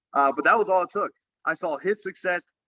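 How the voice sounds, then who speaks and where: A man with a Texan accent speaks at a very fast pace in a bright, sharp tone. His pitch variation is ordinary, and the sound is dry and close with no echo. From Texas. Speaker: network marketer. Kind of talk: business presentation. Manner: casual.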